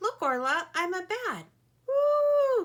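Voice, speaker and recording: A woman puts on a squeaky character voice, pitched extremely high and swinging very widely in pitch. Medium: read story. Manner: gentle, earnest.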